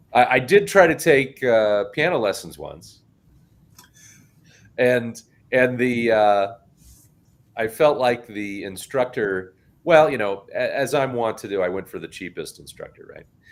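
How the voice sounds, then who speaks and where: A man at a medium pitch speaks at a fairly slow pace with long, frequent pauses, lively intonation and big swings in loudness. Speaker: podcast host. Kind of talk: casual chat. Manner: halting.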